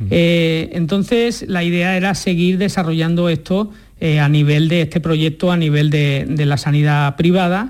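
A man's high-pitched voice runs at a moderate pace with hardly any pauses and very even loudness. The recording is very clean, with a silent background. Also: ordinary pitch variation. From Andalusia, Huelva province. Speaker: neurologist. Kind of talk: radio interview.

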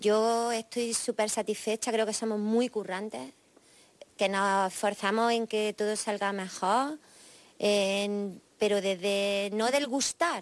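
A woman speaks at a fairly high pitch and a very slow pace, with ordinary pitch variation. The sound is dry and close, with no echo. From Jaén, Andalusia, Spain. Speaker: rock singer-songwriter. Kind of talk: interview answers.

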